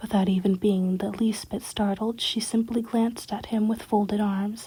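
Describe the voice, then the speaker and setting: The speaker is soft-spoken. The pace is moderate. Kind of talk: ASMR story reading.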